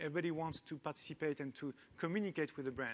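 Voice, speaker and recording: This man talks very fast, his fairly high voice moving with ordinary pitch variation. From France. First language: French. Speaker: tech company founder and CEO. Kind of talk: panel talk. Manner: hesitant with many fillers.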